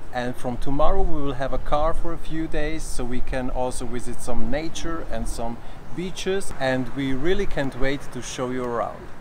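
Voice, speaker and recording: Over noticeable background noise, a man speaks at a moderate pace with hardly any pauses. His pitch varies in an ordinary way. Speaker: travel vlogger. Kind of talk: casual vlog chat. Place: street. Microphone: phone near.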